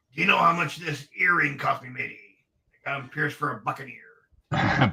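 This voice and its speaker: A man's raspy put-on character voice, fairly high in pitch, at a moderate pace. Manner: playful, joking.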